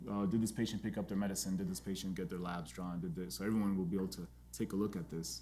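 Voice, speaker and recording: A man's very deep, low voice with an American accent, dark and mellow in tone with vocal fry, at a very fast pace with lively intonation, with audible room echo. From Texas, El Paso. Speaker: pediatric gastroenterologist and entrepreneur. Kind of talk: lecture. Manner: informal, halting with fillers.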